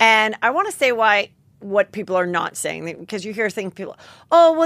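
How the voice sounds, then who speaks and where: With very wide pitch swings, a woman talks at a moderate pace against a quiet background, the sound dry with no echo. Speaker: podcast host. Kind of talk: comedic podcast commentary. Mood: animated, indignant comic riffing. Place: studio. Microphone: studio mic.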